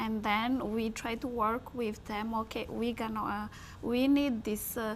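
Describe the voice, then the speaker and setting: Speaking fairly slowly, a woman holds a fairly high pitch in a monotone, flat voice. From Madagascar. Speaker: entrepreneur. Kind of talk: interview.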